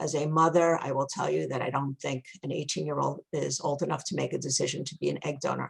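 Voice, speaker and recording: A woman with a strong New York accent talks at a very fast pace with hardly any pauses. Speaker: egg donation agency owner. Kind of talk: webinar presentation.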